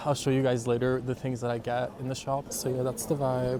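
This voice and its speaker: The man's medium-pitched speech runs fairly quickly while noticeable noise carries on behind it. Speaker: vlogger. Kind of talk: casual vlog talk to camera. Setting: outdoors walking on a city street. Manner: casual, filler-heavy.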